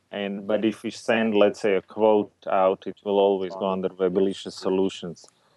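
With a non-native accent, a man talks in a fairly low, flat monotone with hardly any pauses. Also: moderate pace. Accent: foreign-accented English. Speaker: entrepreneur. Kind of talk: casual interview.

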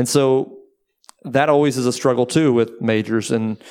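A man's ordinary speaking voice with an American accent, medium in pitch, at a moderate pace with fairly even intonation. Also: very clean recording, silent background. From Texas (Waco). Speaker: booking agency owner. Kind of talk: panel interview. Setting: live talk with audience.

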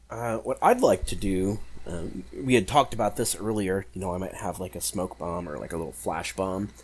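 A man talks at a fairly quick pace in a very deep, low voice with vocal fry. His intonation is lively, with big swings in loudness. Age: 30s. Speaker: tabletop role-playing game player. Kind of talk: tabletop role-playing game session.

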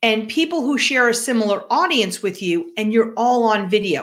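A woman with a New York accent, a bright, sharp tone and lively intonation, on a very clean recording with a silent background. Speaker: business podcast co-host. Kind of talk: casual chat.

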